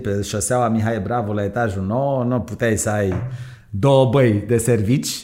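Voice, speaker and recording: An unremarkable speaking voice belongs to a man at a medium pitch. He speaks at a fairly slow pace with ordinary pitch variation. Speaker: entrepreneur. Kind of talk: interview.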